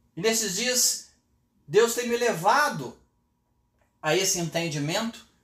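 The intonation here is lively. Delivery moves at a fairly slow pace. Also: man. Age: 50s. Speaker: pastor. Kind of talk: sermon. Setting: home office, livestream.

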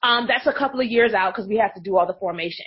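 A woman speaks with an American accent. Her pitch variation is ordinary. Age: 30s. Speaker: business coach. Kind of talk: interview.

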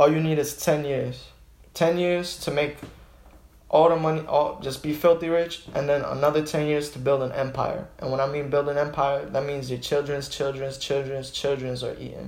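A man at fairly high pitch with monotone, flat intonation, a moderate pace, and audible room echo. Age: 20s. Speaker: small business owner. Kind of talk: casual chat.

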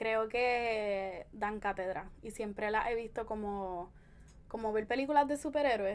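A woman with a fairly high pitch speaks in an ordinary speaking voice, taking a fairly slow pace and showing ordinary pitch variation. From Puerto Rico, Caguas. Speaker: feminist blogger and podcaster. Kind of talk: casual interview.

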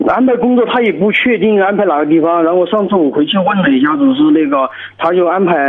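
A high-pitched man talking at a fairly quick pace, with noticeable background noise. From Sichuan, China. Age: 30s. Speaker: soldier calling in for advice. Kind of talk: call-in advice conversation. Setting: phone call. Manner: halting, repeats words.

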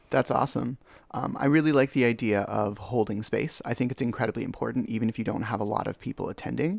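With a Canadian accent and vocal fry, a man talks at a very fast pace with ordinary pitch variation, in a dry, close sound with no echo and a quiet background. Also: medium pitch for a man. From Canada. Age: 30s. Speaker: podcast host. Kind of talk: interview.

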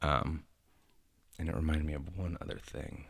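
On a very clean recording with a silent background, a soft-spoken man talks in a very deep, low voice with vocal fry and flat, monotone intonation. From Northern California (Stockton). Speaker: comedian. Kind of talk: casual chat.

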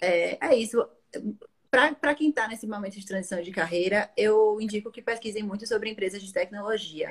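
A plain, everyday voice speaks with ordinary pitch variation. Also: woman, fairly high pitch for a woman, moderate pace, big swings in loudness. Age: 20s. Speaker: marketing professional and career-change guest. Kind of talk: interview about career change.

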